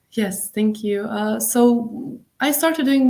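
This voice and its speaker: A woman speaks with a Bosnian accent. Her intonation is fairly even. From Bosnia and Herzegovina, Mostar. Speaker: tour guide. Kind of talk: interview. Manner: halting.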